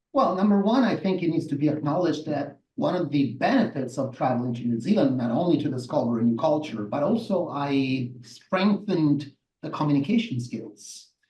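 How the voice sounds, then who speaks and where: Speaking fairly quickly with an Italian accent, a man uses lively intonation in a fairly high, somewhat breathy voice. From southern Italy, Salerno. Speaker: massage therapist and movement educator. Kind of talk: interview. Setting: live show.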